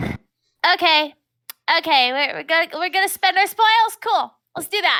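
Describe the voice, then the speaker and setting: This is a put-on character voice at an extremely high pitch, breathy in quality. The delivery moves at a moderate pace. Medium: actual play. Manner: airy, ditzy.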